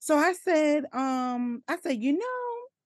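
A woman speaks. Her pitch swings very widely. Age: 30s. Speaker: maternity nurse and perinatal coach. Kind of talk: casual interview chat.

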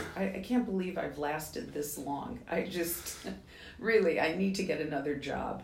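Over noticeable background noise, a woman with an American accent talks with lively intonation. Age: 70s. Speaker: skincare company founder. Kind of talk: interview.

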